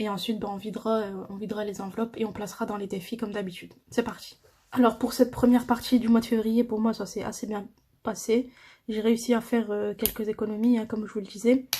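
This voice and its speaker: Talking very fast, a woman has a fairly high, somewhat breathy voice with a dark, mellow tone and monotone, flat intonation. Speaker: budgeting vlogger. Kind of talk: casual tutorial. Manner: hesitant.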